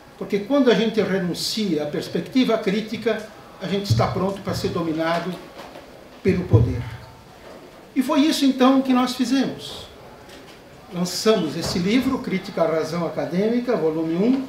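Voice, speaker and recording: A man with a high pitch and lively intonation speaks at a moderate pace, leaving long, frequent pauses, with audible room echo and light background noise. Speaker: professor giving a lecture. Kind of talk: academic lecture. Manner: formal, eloquent. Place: hall.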